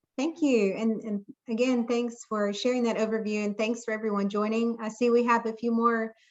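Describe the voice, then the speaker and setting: Speaking at a moderate pace in a Southern US accent, a woman keeps a fairly high pitch and fairly even intonation. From US South, Jackson, Mississippi. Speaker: foundation board member, moderator. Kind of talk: event moderation.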